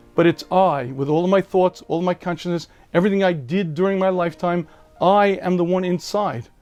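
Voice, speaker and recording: Music plays in the background as a man with an American accent speaks. His pitch is high and his intonation fairly even. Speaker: rabbi. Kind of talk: rabbi answering a viewer question, explanatory talk.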